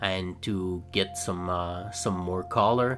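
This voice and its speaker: Fairly even intonation and a very slow pace mark this speech in a French-Canadian accent. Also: man. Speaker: scale model builder. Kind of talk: tutorial. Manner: hesitant, many fillers; casual.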